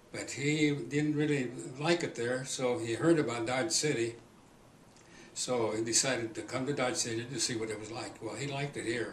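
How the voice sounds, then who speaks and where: A man's medium-pitched voice at a moderate pace, fairly even intonation, with noticeable background noise and audible room echo. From Kansas. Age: 80s+. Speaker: oral history interviewee. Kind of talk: oral history interview. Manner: halting.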